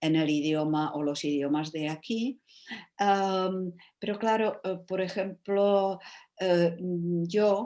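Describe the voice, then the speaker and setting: A woman speaks at a very slow pace in a dark, mellow tone, her medium pitch showing ordinary variation. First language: Czech (speaking Spanish). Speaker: writer and translator. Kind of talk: panel discussion. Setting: video call. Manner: halting, many fillers.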